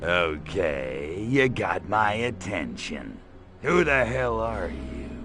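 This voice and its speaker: Over clear background noise, a man in a put-on character voice speaks very slowly at a very deep, low pitch. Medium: video game. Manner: sardonic, tough-talking.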